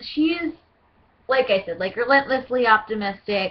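Bubbly female speech at a fairly quick pace with ordinary pitch variation. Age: 20s. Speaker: cosplayer auditioning for a voice role. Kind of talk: audition video monologue. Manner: hesitant, many fillers; bubbly, hyper. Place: home room. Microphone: webcam.

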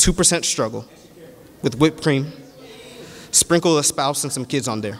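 Over noticeable background noise, a man with a fairly high pitch talks in an animated tone at a moderate pace, with ordinary pitch variation. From Nigeria (Yoruba). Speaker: preacher. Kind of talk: sermon.

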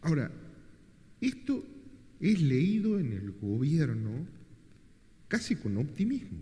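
Very slow and somewhat breathy, the voice has a dark, mellow tone, very wide pitch swings and long, frequent pauses. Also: man, fairly high pitch for a man. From Argentina. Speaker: moderator. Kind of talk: moderated book presentation. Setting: event hall with audience. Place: hall.

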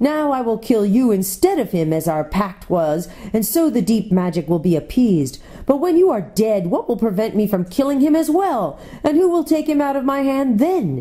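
A female-sounding voice puts on a shaky character voice at a moderate pace. Its pitch swings very widely. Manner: gloating, menacing.

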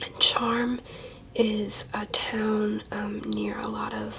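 A soft-spoken woman talks in a relaxed tone with an American accent. Light background noise sits behind her voice. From Ohio, USA. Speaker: collector. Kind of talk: softly spoken ASMR show-and-tell. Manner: soft-spoken, relaxed, casual. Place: home room.

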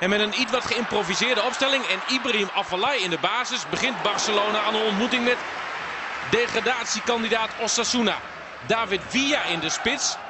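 Over crowd noise in the background, a man speaks at a high pitch with very even loudness. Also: ordinary pitch variation, fairly quick pace. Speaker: football commentator. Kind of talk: live football commentary over match highlights. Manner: fluent, informed and analytical, mixing match context with action.

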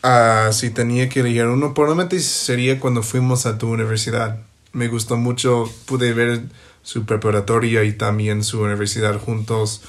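A man with an English accent speaks at a moderate pace and a medium pitch. His intonation is fairly even, with audible room echo. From US, Ohio. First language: English (speaking Spanish). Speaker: podcast guest, host's best friend. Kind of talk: casual chat. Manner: halting.

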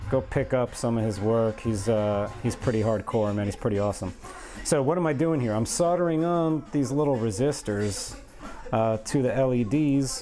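Over music in the background, the speaker keeps a moderate pace, ordinary pitch variation and very even loudness. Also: man. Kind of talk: casual work-along chat. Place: workshop.

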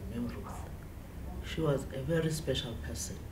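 Over noticeable background noise, a woman talks at a moderate pace with a very deep, low pitch. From South Africa. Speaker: political party women's league member. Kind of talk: spoken eulogy tribute to a fallen comrade, ending in a Nguni farewell. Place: office.

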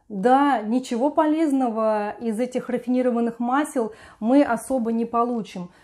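A woman with a high pitch speaks in a dark, mellow tone. The background is quiet. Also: fairly even intonation, moderate pace. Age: 50s. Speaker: lifestyle vlogger. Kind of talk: video blog monologue. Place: home room. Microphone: lapel.

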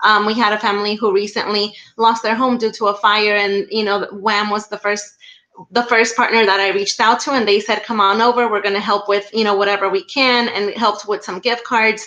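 At a fairly quick pace, a woman speaks in a monotone, flat way, her fairly high voice bright and sharp in tone. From Mexico, small town. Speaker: school director. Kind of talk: video chat interview. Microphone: video call.

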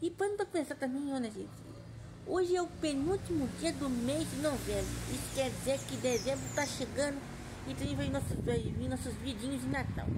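Noticeable background noise sits behind the recording. This woman keeps a moderate pace. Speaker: vlogger. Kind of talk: casual vlog chat. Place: garden. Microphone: phone near.

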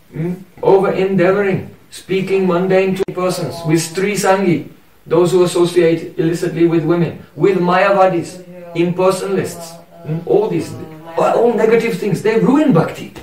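With audible room echo and light background noise, a man speaks at a moderate pace in a high pitch and fairly even intonation. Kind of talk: devotional lecture. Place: home room.

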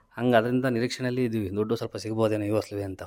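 A man with a normal speaking voice and fairly even intonation. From Karnataka, Hassan district (Arakalagudu taluk). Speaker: farmer. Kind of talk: radio interview.

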